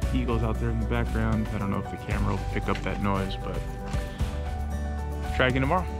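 Over loud background music, a man talks at a very fast pace. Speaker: angler vlogger. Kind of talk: casual vlog chat. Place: waterside. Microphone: phone near.

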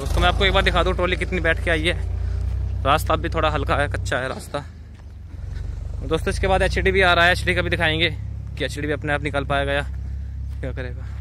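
A man at a moderate pace with long, frequent pauses, in dry sound with no echo and light background noise. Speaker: tractor video creator. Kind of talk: commentary. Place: open country. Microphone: phone near.

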